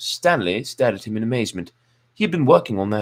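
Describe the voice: What you hear is plain reading aloud.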